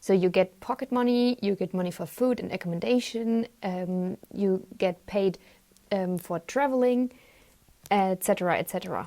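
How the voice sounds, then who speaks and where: With a German accent and a dark, mellow tone, a woman is heard in a dry, close sound with no echo on a very clean recording with a silent background. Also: medium pitch for a woman, ordinary pitch variation, moderate pace. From Germany. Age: 20s. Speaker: volunteer. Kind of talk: presentation.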